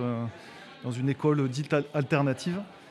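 A man with a Toulouse accent and ordinary pitch variation. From near Toulouse, southwest France. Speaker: social entrepreneur. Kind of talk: interview. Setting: studio.

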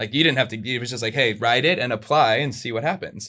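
The voice has an American accent and a bright, sharp tone with ordinary pitch variation. The recording is very clean, with a silent background. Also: man. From US, Southern California (Orange County). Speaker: tour manager and marketing professional. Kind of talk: casual interview chat. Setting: in person, in Australia.

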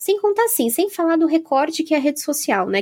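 A woman with very wide pitch swings at a fairly quick pace. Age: 20s. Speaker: podcast host. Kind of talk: casual chat.

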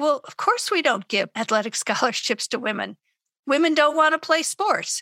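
A woman's raised, projected voice, high-pitched and bright and sharp, at a moderate pace, with very wide pitch swings, big swings in loudness, and a dry, close sound with no echo. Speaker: historian expert commentator. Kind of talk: interview commentary.

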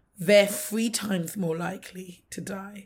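A woman with a London accent speaks at a moderate pace in a somewhat breathy voice. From London, England. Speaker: maternal health advocate. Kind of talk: casual interview.

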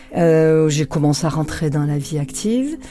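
A woman's very deep, low-pitched voice amid noticeable background noise. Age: 60s. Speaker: public prosecutor. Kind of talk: interview conversation.

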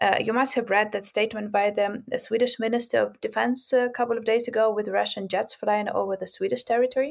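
At a very fast pace with hardly any pauses, a woman talks at a fairly high pitch with fairly even intonation. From Ukraine, Kharkiv. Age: 30s. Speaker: politician. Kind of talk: interview. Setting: shelter during war. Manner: halting.

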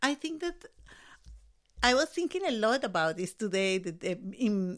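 A woman speaks fairly slowly at a medium pitch in a Spanish accent, her pitch swinging very widely. The recording is very clean with a silent background. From Colombia. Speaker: artist and educator. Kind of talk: casual chat. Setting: studio.

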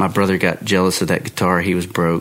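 A man talks at a fairly quick pace in a very deep, low pitch. Noticeable background noise sits behind him. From Texas. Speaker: guitar builder. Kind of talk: casual chat.

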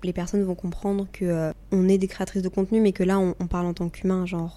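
The voice has a dark, mellow tone and moves at a fairly quick pace with monotone, flat intonation. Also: woman. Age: 20s. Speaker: YouTuber and podcaster. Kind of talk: casual chat.

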